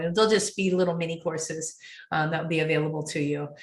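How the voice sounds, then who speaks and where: This woman talks at a very fast pace in a somewhat breathy voice. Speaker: professional organizer running a webinar. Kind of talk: webinar sales pitch and Q&A. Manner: casual, with filler words.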